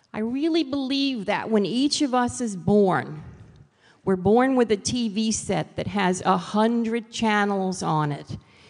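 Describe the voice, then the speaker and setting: Speaking with a New York accent, a woman with a fairly high pitch talks at a fairly slow pace, her intonation lively. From New York City. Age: 60s. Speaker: author and motivational speaker. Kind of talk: motivational talk.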